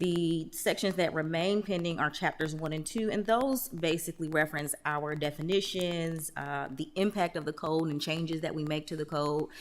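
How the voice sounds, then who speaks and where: A woman with an unremarkable speaking voice talks at a moderate pace with hardly any pauses. Her pitch is fairly low and varies in an ordinary way. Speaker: town staff presenter. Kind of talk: council presentation.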